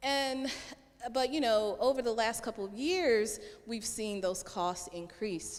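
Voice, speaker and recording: An ordinary speaking voice from a woman with an American accent, pitched fairly high. She talks at a fairly slow pace with lively intonation. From US South. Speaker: panel speaker on social issues. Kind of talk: panel talk. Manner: conversational, many fillers.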